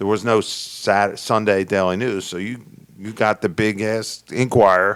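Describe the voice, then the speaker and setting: Monotone and flat, a man speaks at a fairly low pitch and a fairly slow pace. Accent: Philadelphia. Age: 60s. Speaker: podcast host. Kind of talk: casual chat.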